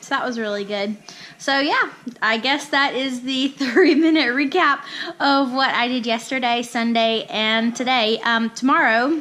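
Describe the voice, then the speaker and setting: A woman's high, raised and projected voice at a fairly slow pace, with ordinary pitch variation. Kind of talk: casual talk to camera.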